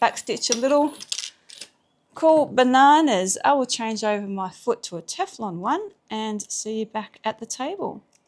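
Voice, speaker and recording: A woman with an Australian accent talks at a fairly slow pace, her pitch swinging very widely. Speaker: sewing teacher. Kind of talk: tutorial. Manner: casual.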